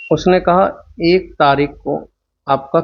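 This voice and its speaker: A man speaks with fairly even intonation. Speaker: teacher. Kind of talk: lecture. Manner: slow; soft-spoken.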